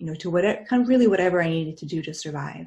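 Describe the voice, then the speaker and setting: The voice is somewhat breathy. Its tone is dark and mellow. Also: woman. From United States. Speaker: near-death experience speaker. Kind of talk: talk to a group. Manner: halting.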